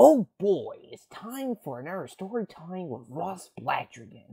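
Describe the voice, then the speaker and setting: This is a put-on character voice at a middle pitch. It moves at a fairly slow pace with very wide pitch swings. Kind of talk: bright, theatrical. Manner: character voice impression.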